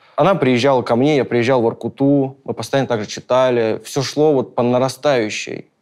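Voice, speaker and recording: Over a silent background on a very clean recording, a man talks at a moderate pace. His pitch is medium, with ordinary variation. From Caucasus. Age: young. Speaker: film crew worker. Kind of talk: personal testimony. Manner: halting, many fillers.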